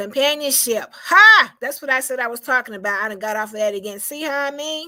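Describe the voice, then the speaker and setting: Raising and projecting her voice, a woman talks at a fairly quick pace and a high pitch, with lively intonation and big swings in loudness. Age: 60s. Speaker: video blogger with brain cancer. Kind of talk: casual inspirational monologue. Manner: halting, with many fillers.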